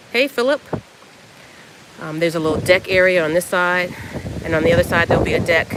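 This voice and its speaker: The delivery is very fast yet broken by long, frequent pauses. Noticeable background noise sits behind it. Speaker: dog breeder. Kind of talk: live stream tour. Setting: outdoors. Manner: soft-spoken.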